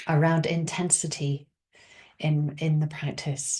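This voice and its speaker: The delivery is very slow and somewhat breathy. The intonation stays monotone and flat. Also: woman. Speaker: meditation teacher. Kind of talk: dharma talk. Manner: halting.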